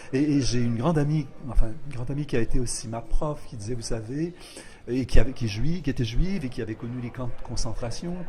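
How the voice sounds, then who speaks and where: A dark, mellow, somewhat breathy voice with ordinary pitch variation sounds in audible room echo. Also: man. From Quebec, Lower St. Lawrence (Rivière-du-Loup). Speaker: poet and literature professor. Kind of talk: interview. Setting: poetry festival. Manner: measured, hesitant with frequent euh.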